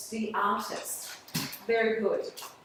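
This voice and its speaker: At a very slow pace, a woman speaks with a fairly high pitch, and audible room echo surrounds her voice. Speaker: art teacher. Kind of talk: classroom lecture. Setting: classroom.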